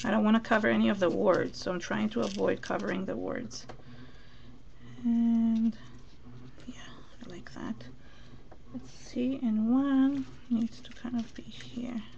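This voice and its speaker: Fairly slow speech full of long, frequent pauses, with audible room echo and noticeable background noise. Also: woman. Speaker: mixed media crafter. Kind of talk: live craft tutorial. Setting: live stream. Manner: mumbling to herself at times.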